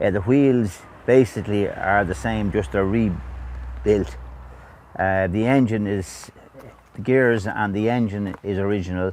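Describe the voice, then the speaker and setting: Speaking at a fairly slow pace, a man with a Dublin accent uses lively intonation over a fairly low pitch. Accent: Irish (Dublin area). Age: 70s. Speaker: vintage motorbike restorer. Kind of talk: oral history interview. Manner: hesitant, many fillers.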